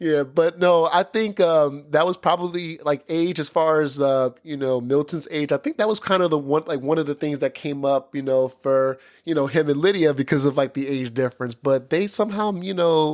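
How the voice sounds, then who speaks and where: At a moderate pace, a man with an ordinary speaking voice speaks at a fairly high pitch, in a very clean recording with a silent background. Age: 30s. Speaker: podcast host. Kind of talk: casual chat.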